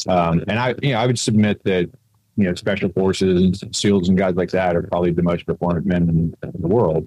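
A man's very deep, low voice with a dark, mellow tone, fairly even intonation and a fairly quick pace. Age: 50s. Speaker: physician, former Navy SEAL. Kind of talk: casual interview. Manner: halting, many fillers.

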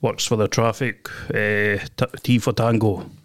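A man speaks at a fairly low pitch and a fairly slow pace in a flat monotone, on a very clean recording with a silent background. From Scotland. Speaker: guest, man recounting a court case. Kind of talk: casual chat. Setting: podcast studio. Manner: rambling, halting, repeats words.

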